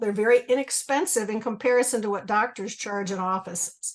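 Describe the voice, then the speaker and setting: Fairly high in pitch, a woman talks at a fairly quick pace. She has a plain, everyday voice, and the background is quiet. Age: 60s. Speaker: retired school teacher, webinar guest. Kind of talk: testimony.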